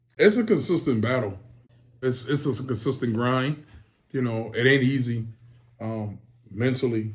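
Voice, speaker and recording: Speaking with an American accent, a man sounds somewhat breathy, with ordinary pitch variation. He leaves long, frequent pauses. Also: medium pitch for a man, moderate pace. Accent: Charleston Geechee dialect. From Charleston, South Carolina (Lowcountry). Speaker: rapper. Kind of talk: interview. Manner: casual, slangy.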